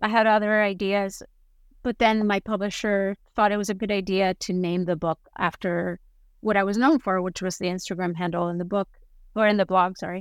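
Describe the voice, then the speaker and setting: A woman's medium-pitched voice in a Spanish accent, fairly quick and fairly even in intonation, dry and close with no echo, on a very clean recording with a silent background. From Spain, Basque Country. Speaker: food photographer and author. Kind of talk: interview.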